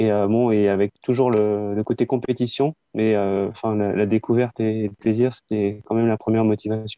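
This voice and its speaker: A man's fairly low, flat, monotone voice at a moderate pace, with very even loudness. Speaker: skating club president. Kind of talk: casual interview. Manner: halting.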